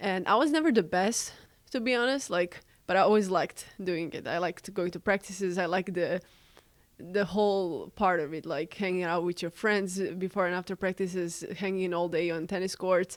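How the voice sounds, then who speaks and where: A woman speaks at a moderate pace in a Serbian accent, her pitch medium with ordinary variation. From Serbia, Belgrade. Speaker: college student and tennis player. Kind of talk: casual interview.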